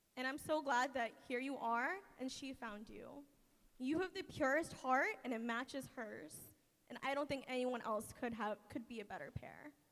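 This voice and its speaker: A woman speaks loudly in a high voice at a moderate pace. Her pitch varies in an ordinary way. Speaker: maid of honor. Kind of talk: wedding speech. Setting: wedding reception with audience.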